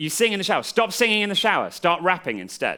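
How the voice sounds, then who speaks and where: A man speaks with an English accent. His tone is bright and sharp. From England. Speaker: comedian and freestyle rapper. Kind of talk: improv lesson to a live audience.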